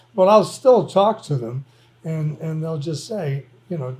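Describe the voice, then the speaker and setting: Fairly high in pitch, a man talks at a fairly slow pace with lively intonation. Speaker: university professor. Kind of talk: casual chat. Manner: loud; energetic.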